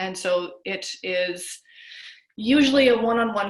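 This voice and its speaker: A woman is talking. Her pitch moves in an ordinary way. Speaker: health coach. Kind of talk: webinar lecture. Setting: video call. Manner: fast.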